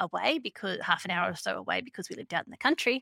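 Her tone is bright and sharp, with lively intonation in an Australian accent. The woman's sound is dry and close with no echo. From Australia, Queensland. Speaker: music teacher. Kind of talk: interview conversation.

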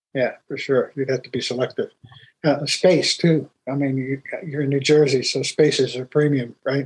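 With an American accent, a man speaks in a fairly high, somewhat breathy voice with monotone, flat intonation. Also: moderate pace, big swings in loudness. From US mill mining area. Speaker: podcast host and business consultant. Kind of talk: interview.

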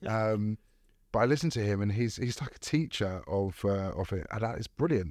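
Spoken at a moderate pace with lively intonation, this is an unremarkable speaking voice. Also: man, fairly low pitch for a man. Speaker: recruitment director and community co-founder. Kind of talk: casual chat.

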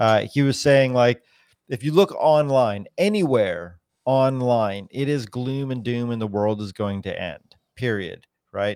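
A man with an American accent and a plain, everyday voice, medium pitch, fairly slow pace, lively intonation, very clean recording with a silent background. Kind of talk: casual chat.

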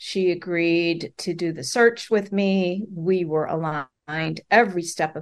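An ordinary speaking voice from a woman, fairly low in pitch with ordinary pitch variation, unhurried at a fairly slow pace, against a quiet background. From US Midwest, Chicago. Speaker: author. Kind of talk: podcast interview.

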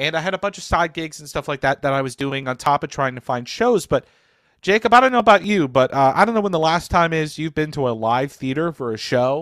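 Dry and close with no echo, an unremarkable speaking voice from a man comes at a fairly quick pace and fairly high pitch. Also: lively intonation. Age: 20s. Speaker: community manager and stage actor. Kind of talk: casual interview chat.

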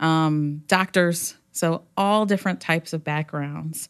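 A woman's fairly low voice, monotone and flat, over a quiet background. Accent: American. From US South, Hampton, Virginia. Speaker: nonprofit outreach coordinator. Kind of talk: casual interview.

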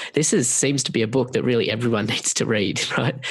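A man's medium-pitched delivery, with fairly even intonation, races along at a very fast pace. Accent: Australian. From Australia. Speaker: podcast host. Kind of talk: interview.

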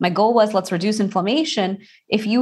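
Speaking very fast with an American accent, a woman sounds somewhat breathy. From Texas, Houston. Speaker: Ayurvedic practitioner. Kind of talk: interview.

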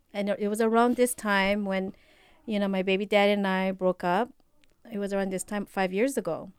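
A woman with a Filipino accent, medium pitch and monotone, flat intonation. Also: very clean recording, silent background. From Philippines. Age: 40s. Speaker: healthcare worker. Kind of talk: casual chat.

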